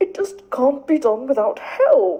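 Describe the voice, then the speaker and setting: A high-pitched, put-on character voice carries the lines. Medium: read story. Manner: pompous.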